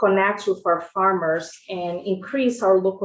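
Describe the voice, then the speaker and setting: Speaking with a Brazilian Portuguese accent, a woman keeps a medium pitch and ordinary pitch variation. Her pace is fairly slow. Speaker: school food service director. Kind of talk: committee testimony. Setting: legislative committee hearing. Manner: halting, many fillers.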